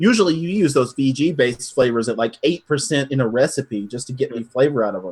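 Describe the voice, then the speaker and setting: In an American accent, the speaker talks very fast with hardly any pauses, lively intonation and a somewhat breathy sound. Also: man, medium pitch for a man. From northern US. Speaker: e-liquid recipe maker. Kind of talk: casual chat.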